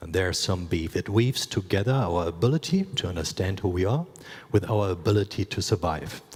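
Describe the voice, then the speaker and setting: A man with a German accent, a very deep, low pitch, a somewhat breathy voice and a moderate pace. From Eastern Germany. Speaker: creative studio founder and former robot dancer. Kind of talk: conference talk.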